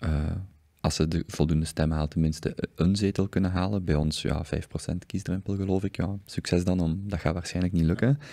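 Against a quiet background, a man talks at a fairly quick pace in a dark, mellow tone with fairly even intonation. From Belgium. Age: 30s. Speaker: podcast host. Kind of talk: casual interview conversation. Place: studio. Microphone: studio mic.

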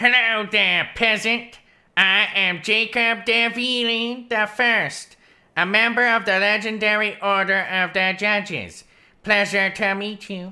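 The voice sounds female and fairly high in pitch. It is delivered at a fairly slow pace in a monotone, flat intonation. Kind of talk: comic overacting. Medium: actual play. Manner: pompous, mock-courtly, comically dense.

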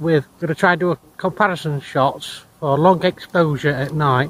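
This man talks at a moderate pace with ordinary pitch variation. The sound is dry with no echo. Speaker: tech vlogger. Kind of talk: casual vlog chat. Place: street. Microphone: phone near.

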